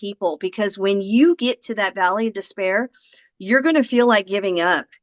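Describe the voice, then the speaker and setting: With a normal speaking voice, a woman of medium pitch talks at a moderate pace with lively intonation, the sound dry and close with no echo. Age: 60s. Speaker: affiliate marketer. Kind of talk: interview.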